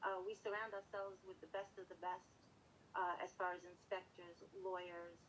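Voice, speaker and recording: A woman at medium pitch with a Brooklyn accent, speaking at a moderate pace. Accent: Brooklyn New York. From New York City, Brooklyn. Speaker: real estate manager. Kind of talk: interview. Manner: passionate.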